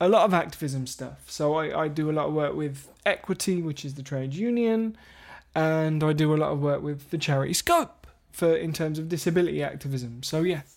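In a very clean recording with a silent background, a man talks at moderate speed. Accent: English. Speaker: podcast co-host. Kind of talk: casual chat.

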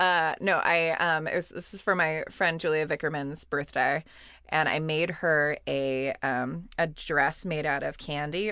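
Against a quiet background, a woman with a very deep, low pitch and a bright, sharp tone speaks at a fairly slow pace in a Californian accent. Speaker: podcast co-host. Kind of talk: casual chat. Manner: halting, many fillers.

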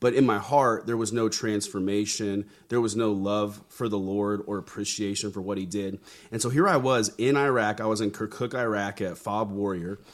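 On a very clean recording with a silent background, a man speaks in a plain, everyday voice. His pitch is fairly low, his intonation fairly even, and his pace moderate. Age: 30s. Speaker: pastor and army veteran. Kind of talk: interview conversation.

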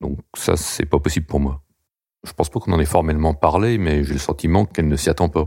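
A man's very deep, low voice, somewhat breathy with a dark, mellow tone, moves at a fairly quick pace with ordinary pitch variation. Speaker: bank employee. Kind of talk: personal testimony.

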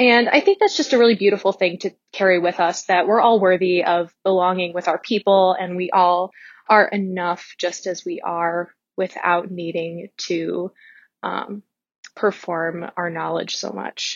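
At a fairly slow pace, a woman speaks with a medium pitch. Her intonation stays fairly even. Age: 20s. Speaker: listener leaving voicemail. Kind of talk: voicemail message. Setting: phone voicemail. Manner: hesitant, many fillers.

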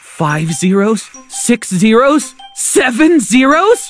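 A man uses a put-on character voice at an extremely high pitch, speaking slowly with big pitch swings as faint music plays in the background.

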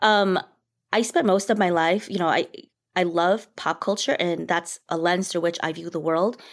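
A woman with a normal speaking voice talks at a fairly quick pace, her pitch fairly low with ordinary variation. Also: very clean recording, silent background. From Minnesota, US. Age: 40s. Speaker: writer and performer. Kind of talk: casual chat.

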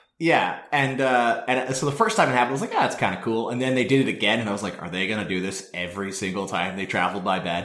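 A man talks very fast with hardly any pauses, at a medium pitch and with lively intonation. Background noise is noticeable. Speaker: podcast host. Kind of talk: casual chat. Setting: outdoors on a mountain, remote call.

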